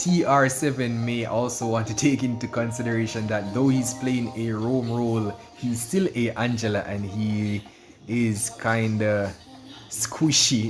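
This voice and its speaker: A medium-pitched man with a Jamaican accent, fairly even intonation and a fairly slow pace, with audible room echo and music in the background. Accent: Jamaican patois. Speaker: esports commentator and streamer. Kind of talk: casual chat; live commentary. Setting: livestream.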